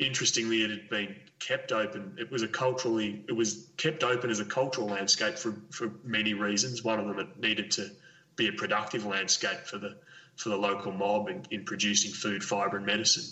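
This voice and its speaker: Over noticeable background noise, a man talks at a fairly quick pace and a medium pitch. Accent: Australian. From Victoria, Australia. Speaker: conservation ecologist. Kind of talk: interview. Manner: halting, many fillers.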